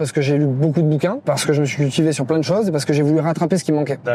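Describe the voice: A man with a southern French accent speaks very fast at a fairly high pitch, with fairly even intonation, very even loudness and noticeable background noise.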